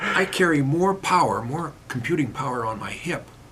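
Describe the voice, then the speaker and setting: A man talks at a moderate pace with a fairly high pitch and lively intonation. Noticeable background noise runs under his voice. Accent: American. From Pennsylvania. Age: 70s. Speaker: mayor. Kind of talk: casual interview.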